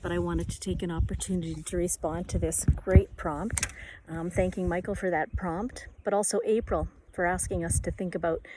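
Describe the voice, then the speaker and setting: The recording is very clean, with a silent background. The speaker uses vocal fry and talks at a fairly quick pace. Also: woman. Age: 60s. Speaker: writer and poet. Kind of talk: personal reflective monologue. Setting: outdoors by a bay.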